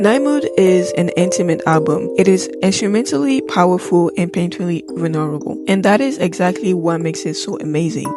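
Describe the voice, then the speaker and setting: A woman talks at a fairly quick pace with hardly any pauses over noticeable background noise. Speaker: music video essayist. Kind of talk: video essay narration.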